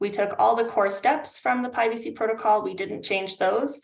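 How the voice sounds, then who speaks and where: Delivered at a fairly quick pace, an ordinary speaking voice with a Canadian accent carries ordinary pitch variation. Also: woman. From Canada. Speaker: climate adaptation consultant. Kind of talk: webinar presentation.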